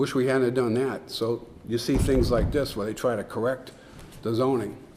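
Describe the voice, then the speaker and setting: A man speaks in a monotone with flat intonation. Noticeable background noise can be heard. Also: medium pitch for a man, moderate pace. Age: 70s. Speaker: town official presenting warrant articles. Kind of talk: public meeting Q&A. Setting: community center meeting room.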